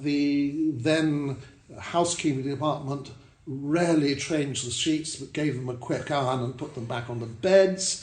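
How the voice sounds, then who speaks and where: Audible room echo surrounds a man with a fairly high pitch. He talks at a fairly slow pace with ordinary pitch variation. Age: 70s. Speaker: hotel owner. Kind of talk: interview. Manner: hesitant with fillers.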